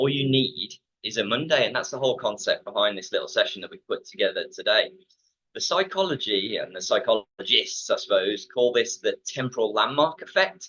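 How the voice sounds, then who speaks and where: A man speaks with an English Midlands accent. His pace is fairly quick. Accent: Midland English. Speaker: fitness company manager. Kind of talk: webinar talk. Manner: many fillers and repetitions.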